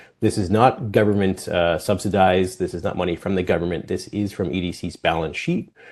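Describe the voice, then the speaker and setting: Against a quiet background, a man with a Canadian accent talks fairly quickly in a very deep, low pitch. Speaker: export finance presenter. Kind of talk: webinar presentation. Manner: fast.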